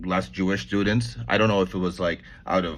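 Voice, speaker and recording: Against a quiet background, a man talks with vocal fry and a bright, sharp tone. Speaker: lawyer commentator on legal news. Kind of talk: casual monologue vlog. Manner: fast; halting, many self-corrections.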